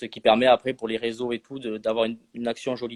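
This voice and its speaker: A man speaks with a southern French accent at medium pitch. His pace is fairly quick. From southwest France, Landes. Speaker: social media manager for a sports video app. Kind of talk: live stream interview. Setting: online live stream. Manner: hesitant, many fillers.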